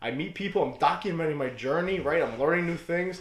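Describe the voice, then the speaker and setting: Very fast speech from a man, with audible room echo. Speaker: reptile breeder and YouTuber. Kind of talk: rant. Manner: casual.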